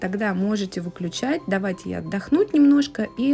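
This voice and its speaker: A woman talks at a medium pitch with ordinary pitch variation. Music plays in the background. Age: 30s. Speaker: home cooking vlogger. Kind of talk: cooking tutorial. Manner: casual.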